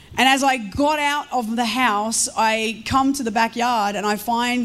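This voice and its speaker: A woman talks at a fairly slow pace with an Australian accent and a fairly high pitch. Her pitch varies an ordinary amount, and there is audible room echo. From Australia, Melbourne and rural Victoria. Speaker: guest pastor. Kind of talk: sermon. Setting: church service with congregation.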